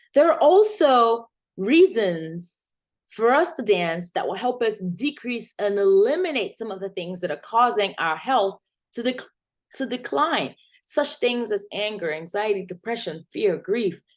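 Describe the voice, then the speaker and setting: A woman's fairly high voice with very wide pitch swings, at a fairly slow pace over a quiet background. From Nigeria. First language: not English. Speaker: community health nurse, educator. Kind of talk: presentation. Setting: video recording with screen share.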